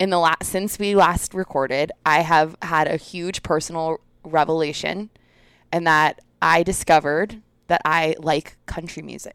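Fairly slow and fairly low, a woman speaks with fairly even intonation in a normal speaking voice. The recording is very clean, dry and close with no echo and a silent background. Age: 30s. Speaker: podcast co-host. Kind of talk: casual chat.

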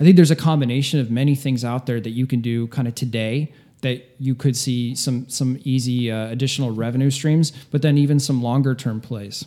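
Over music in the background, the speaker moves at a fairly quick pace with fairly even intonation. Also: man, medium pitch for a man. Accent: American. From Ohio, US Midwest. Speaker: pharmacist. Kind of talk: interview. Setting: home studio.

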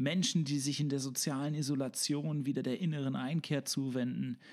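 A man's normal speaking voice, fairly high in pitch, at a moderate pace on a very clean recording with a silent background. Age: 30s. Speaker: podcast host and local politician. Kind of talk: interview; scripted narration.

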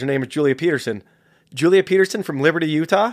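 A man with an American accent talks very fast in a fairly high voice with ordinary pitch variation, on a very clean recording with a silent background. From San Jose, California. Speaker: filmmaker. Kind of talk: casual interview conversation. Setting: studio.

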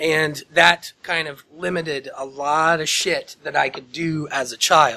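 A man with a Midwestern US accent speaks fairly slowly with hardly any pauses. His tone is bright and sharp, his intonation monotone and flat. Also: fairly high pitch for a man. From Indiana, small town near Muncie. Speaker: podcast host. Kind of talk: casual chat.

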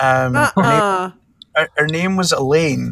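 A man speaks with a Scottish accent at a high pitch. His intonation is lively. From Scotland. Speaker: podcast guest.

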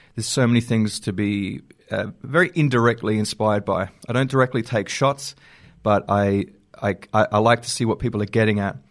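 A man's medium-pitched voice with an Australian accent, at a fairly quick pace with ordinary pitch variation and a quiet background. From South Australia (Normanville). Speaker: filmmaker. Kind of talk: interview. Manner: halting, many fillers and repeats.

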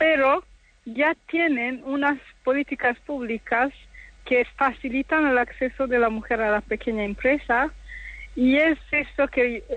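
A woman's high-pitched voice, fairly slow, with ordinary pitch variation. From DR Congo. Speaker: university professor. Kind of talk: radio interview. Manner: halting.

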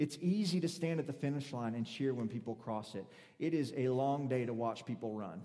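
An unremarkable speaking voice from a man, medium in pitch, with lively intonation at a fairly quick pace. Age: 30s. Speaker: preacher. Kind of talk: sermon. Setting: church.

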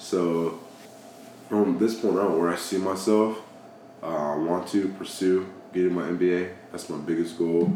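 In a room with audible echo and noticeable background noise, a man with a very deep, low voice and an American accent speaks at a fairly slow pace with fairly even intonation and long, frequent pauses. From Georgia, US (Dallas, near Atlanta). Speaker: military service member. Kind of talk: casual chat.

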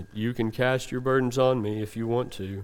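A man puts on a character voice. His pitch sits in the medium range, and his pace is moderate. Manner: mopey, reluctant, dreary.

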